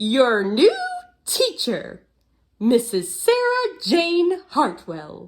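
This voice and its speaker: A put-on character voice at a very slow pace, with very wide pitch swings. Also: woman, high pitch for a woman. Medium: read story. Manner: brisk, gushing.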